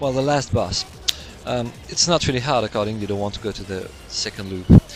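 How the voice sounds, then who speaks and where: With music playing in the background, a man in a French accent speaks at a fairly quick pace with ordinary pitch variation. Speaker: video game commentator. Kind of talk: gameplay commentary tutorial. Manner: halting.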